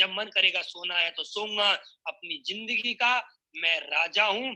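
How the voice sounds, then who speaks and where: In a raised, projected voice, a man speaks with a bright, sharp tone and ordinary pitch variation. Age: 20s. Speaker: network marketing speaker. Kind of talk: motivational speech.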